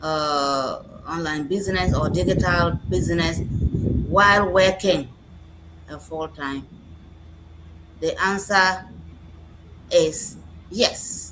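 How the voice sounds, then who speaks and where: A woman speaks very slowly, with long, frequent pauses and big swings in loudness. Noticeable background noise and audible room echo fill the recording. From Ghana, Upper West region. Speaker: nurse and business mentor. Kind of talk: live stream panel answer.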